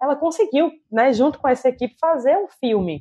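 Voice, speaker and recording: The woman's high-pitched voice moves along at a fairly quick pace. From Recife, Brazil. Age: 20s. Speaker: film director and producer. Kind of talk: casual interview chat.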